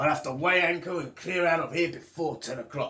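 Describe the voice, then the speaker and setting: A raspy, put-on character voice. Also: man. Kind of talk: storybook pirate. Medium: read story. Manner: gruff, blustering.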